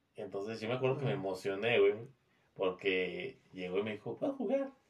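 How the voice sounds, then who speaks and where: The speaker talks at a moderate pace with a Mexican accent. The intonation is lively. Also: man. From Mexico. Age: 20s. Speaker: podcast guest. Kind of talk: casual chat.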